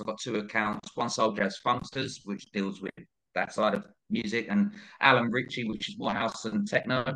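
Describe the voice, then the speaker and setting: A man with a London accent at a fairly quick pace. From northeast London, England. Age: 40s. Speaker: DJ. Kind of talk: casual chat. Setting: podcast recorded in tape mode.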